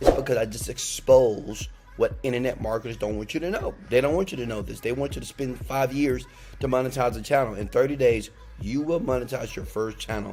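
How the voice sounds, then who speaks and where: A man speaks in an animated tone at a fairly quick pace, with music in the background. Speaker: online marketing youtuber. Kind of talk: tutorial. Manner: loud.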